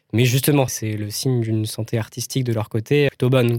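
A man with a plain, everyday voice at medium pitch, fairly quick and fairly even in intonation, on a very clean recording with a silent background. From France, Paris region (Val-d'Oise). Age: 20s. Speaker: film director and art student. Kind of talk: casual interview.

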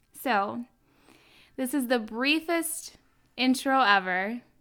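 A woman's high-pitched voice, animated and bright with a sharp edge, on a very clean recording with a silent background. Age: 30s. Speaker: podcast host and health coach. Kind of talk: solo podcast monologue. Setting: home kitchen.

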